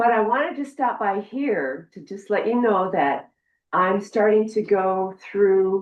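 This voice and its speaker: Speaking fairly slowly, a woman with an American accent uses lively intonation at a medium pitch. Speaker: state senator. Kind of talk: public meeting address. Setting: county commission meeting. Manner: loud.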